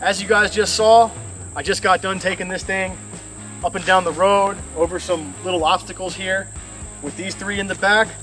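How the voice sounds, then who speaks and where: A man's high-pitched, monotone, flat voice with an American accent at a moderate pace, with music in the background. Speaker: homesteader and DIY fabrication video host. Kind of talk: casual workshop tutorial. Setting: workshop. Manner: loud, raised voice over rain noise.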